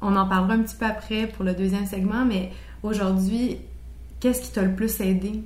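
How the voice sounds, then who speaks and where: A woman speaks at a fairly quick pace with big swings in loudness, in a room with audible echo. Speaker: podcast host. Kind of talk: interview.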